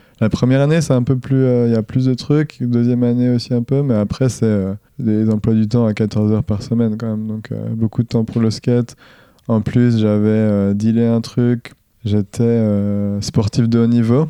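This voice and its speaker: At a fairly slow pace, a man with a normal speaking voice speaks at medium pitch and keeps his intonation fairly even. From eastern France, Jura (Dole). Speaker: professional skateboarder. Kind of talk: casual interview.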